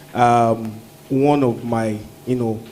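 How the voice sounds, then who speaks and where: Noticeable background noise sits behind a man's voice. His pitch is medium and his intonation fairly even. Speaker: alumnus speaker at industry event. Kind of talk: testimonial speech. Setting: stage with audience, mics off. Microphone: no microphone, mics are off.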